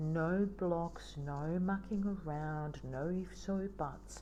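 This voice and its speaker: Music plays in the background as a woman speaks at a very slow pace, with audible room echo. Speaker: spiritual teacher. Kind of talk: teaching. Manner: soft-spoken.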